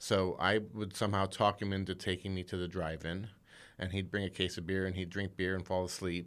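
A man with an American accent speaks in a very deep, low pitch and a flat, monotone intonation. The recording is very clean, with a silent background. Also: fairly quick pace. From Indiana, US Midwest. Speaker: screenwriter. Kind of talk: casual chat.

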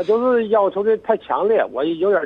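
The man talks at a fairly quick pace. His speech moves along briskly. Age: 50s. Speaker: radio caller. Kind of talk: phone-in conversation. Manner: halting.

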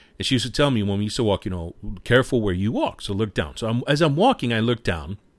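Very fast pace in a New York accent, lively intonation, on a very clean recording with a silent background. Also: man. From New York City, Washington Heights. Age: 40s. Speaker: podcast host. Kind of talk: casual solo podcast monologue.

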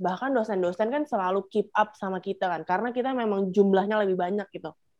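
Here a woman speaks very fast at a medium pitch with ordinary pitch variation. Her sound is dry and close, with no echo. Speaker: podcast co-host. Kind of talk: casual chat. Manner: animated.

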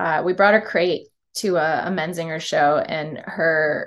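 A woman with an American accent talks at a fairly slow pace with fairly even intonation in a normal speaking voice. The background is quiet. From upstate New York, Syracuse. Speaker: touring musician. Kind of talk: casual interview chat. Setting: video call.

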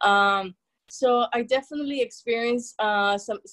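This woman has a Spanish accent. Her intonation stays fairly even. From El Salvador. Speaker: therapist. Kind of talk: interview.

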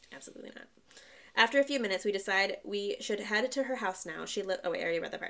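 A woman's medium-pitched voice at a very fast pace, with ordinary pitch variation. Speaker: podcast host. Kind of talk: ghost story telling, reading Reddit stories aloud in a hushed, suspenseful tone.

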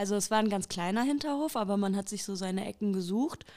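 A woman's fairly high voice on a very clean recording with a silent background. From Germany, Ruhr area (Haltern near Recklinghausen). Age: 30s. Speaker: interviewee. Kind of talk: life-story interview. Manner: hesitant, many filler sounds.

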